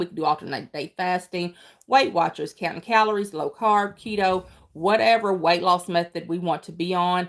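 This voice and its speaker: On a very clean recording with a silent background, the speaker talks with a Kentucky accent at a moderate pace and ordinary pitch variation. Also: woman. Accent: country twang, Kentucky. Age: 40s. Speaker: weight loss vlogger. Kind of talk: casual livestream chat. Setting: livestream. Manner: halting.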